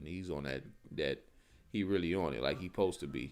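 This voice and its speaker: Very fast and full of vocal fry, a man's speech swings very widely in pitch. The recording is very clean, with a silent background. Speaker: street preacher / bible teacher. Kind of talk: live-streamed bible teaching. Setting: live stream. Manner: casual, conversational.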